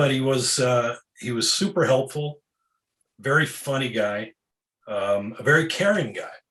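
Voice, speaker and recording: Delivery is fairly slow, with long, frequent pauses. The tone is bright and sharp, and the intonation lively. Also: man, medium pitch for a man. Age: 60s. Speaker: author and bodybuilding writer. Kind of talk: interview. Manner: halting.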